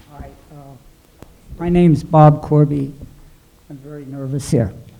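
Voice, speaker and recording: A man's fairly high voice at a moderate pace, fairly even intonation, big swings in loudness, and noticeable background noise. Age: 70s. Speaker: audience member. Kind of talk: testimony. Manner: halting.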